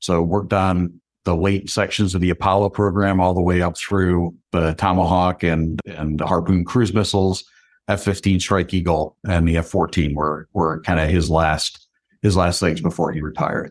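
In a very clean recording with a silent background, a man with an American accent speaks at a moderate pace in a very deep, low voice with monotone, flat intonation. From upstate New York. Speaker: CEO. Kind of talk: casual interview chat.

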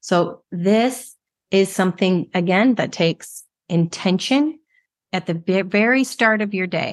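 In an ordinary speaking voice, a woman talks at medium pitch and a fairly slow pace. Her pitch variation is ordinary, and the background is quiet. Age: 40s. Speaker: alcohol-free life coach, podcast host. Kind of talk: solo coaching monologue.

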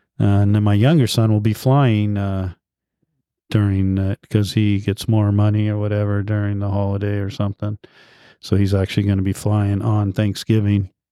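A man's fairly low, dark, mellow voice, monotone and flat at a moderate pace, dry and close with no echo in a very clean recording with a silent background. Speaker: podcast host. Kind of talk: casual chat. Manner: casual, conversational.

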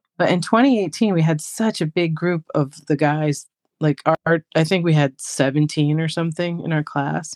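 A woman with an American accent has an ordinary speaking voice at a fairly low pitch, with ordinary pitch variation and a moderate pace. The sound is dry and close, with no echo. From New York. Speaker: English as a second language teacher. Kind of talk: casual interview chat.

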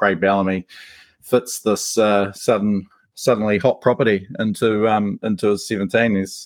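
Against a quiet background, a man with a New Zealand accent talks with a fairly low pitch and fairly even intonation in a dry, close sound with no echo. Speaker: rugby league podcaster and writer. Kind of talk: casual chat.

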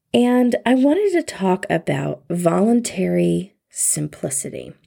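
A woman uses a put-on character voice, strained and hoarse, speaking fairly slowly in a calm tone. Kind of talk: public radio announcer. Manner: calm public radio delivery.

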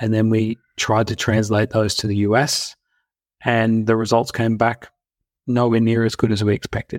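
A man with an Australian accent, medium-pitched, at a moderate pace with monotone, flat intonation and very even loudness, in a dry, close sound with no echo on a very clean recording with a silent background. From Australia (Brisbane). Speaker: health tech company founder and CEO. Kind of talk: interview.

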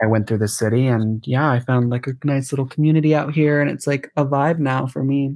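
Over a quiet background, a man with an American accent and an unremarkable speaking voice talks at medium pitch and a fairly quick pace, with fairly even intonation and hardly any pauses. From San Diego, California. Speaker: recent fashion graduate. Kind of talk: casual chat.

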